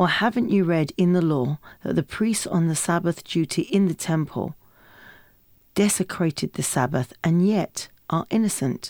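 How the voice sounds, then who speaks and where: A woman in a plain, everyday voice, fairly low pitch, ordinary pitch variation, very even loudness and a moderate pace, on a very clean recording with a silent background and a dry, close sound with no echo. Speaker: Bible reader. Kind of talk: reading aloud.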